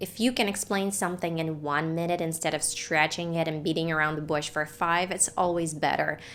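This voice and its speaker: A woman with a non-native accent, fairly quick pace and fairly even intonation. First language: not English. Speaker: family YouTuber and English teacher. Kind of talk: scripted tutorial. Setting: home filming room.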